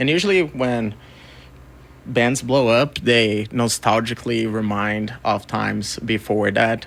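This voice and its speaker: Speaking fairly slowly with a Portuguese accent, a man holds a medium pitch with ordinary pitch variation. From Brazil. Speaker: record label co-founder and music photographer. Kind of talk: radio interview. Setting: radio studio.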